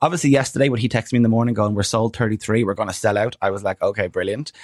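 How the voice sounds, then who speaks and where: Animated in tone, a man with an Irish accent is heard in a dry, close sound with no echo, on a very clean recording with a silent background. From Ireland. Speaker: comedian. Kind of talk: casual chat.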